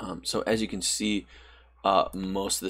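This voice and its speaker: A man is talking at a moderate pace. There is little background sound. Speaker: presenter. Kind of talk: tutorial.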